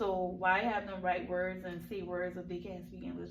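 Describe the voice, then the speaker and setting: Vocal fry runs through the voice, which carries audible room echo. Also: woman. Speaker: teacher mentor giving classroom observation feedback. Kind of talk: feedback meeting. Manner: fast.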